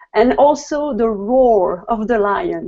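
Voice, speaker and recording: A woman with a French accent speaks in a fairly high pitch. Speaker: guest on health show. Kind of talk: casual chat. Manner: hesitant.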